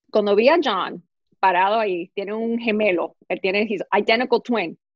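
A woman speaks in an animated tone. Her pace is fairly slow. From US, New York. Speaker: fashion and beauty blogger, actress. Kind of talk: casual interview. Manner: animated, talks with hands.

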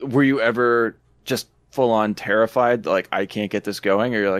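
In a plain, everyday voice, a man speaks at medium pitch and a fairly quick pace with fairly even intonation, on a very clean recording with a silent background. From Ontario, Canada. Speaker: podcast co-host, film enthusiast. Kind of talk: casual chat.

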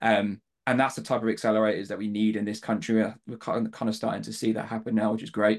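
Against a quiet background, a man with a southern English accent talks at a very fast pace in a fairly low pitch, his intonation monotone and flat. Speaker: fintech company co-founder and CTO. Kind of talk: podcast panel discussion.

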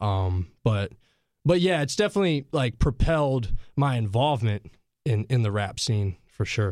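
In a very clean recording with a silent background, a man with an American accent and a plain, everyday voice speaks at a moderate pace, his pitch medium and his intonation lively. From Asheville, North Carolina. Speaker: rapper. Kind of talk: casual interview. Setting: studio.

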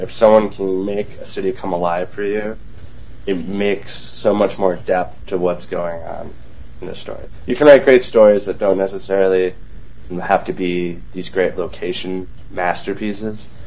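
A man with an American accent talks at a moderate pace in a fairly low pitch, with fairly even intonation but big swings in loudness. There is noticeable background noise and audible room echo. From Wisconsin (Green Bay). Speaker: comics website contributor. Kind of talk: casual panel discussion.

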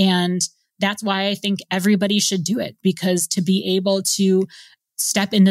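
Recorded very cleanly against a silent background, a woman speaks at a moderate pace in a plain, everyday voice. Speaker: world traveler. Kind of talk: interview.

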